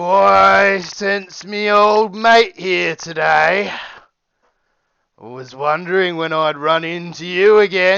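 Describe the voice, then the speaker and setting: A man does a put-on character voice, high in pitch and delivered at a very slow pace. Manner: friendly, familiar.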